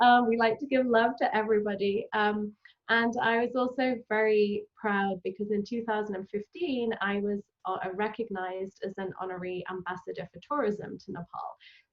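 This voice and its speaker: A woman with a British accent speaks at a moderate pace in a fairly high voice. Her intonation is fairly even, but her loudness swings widely. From England. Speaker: travel company founder. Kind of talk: interview. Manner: many filler ums.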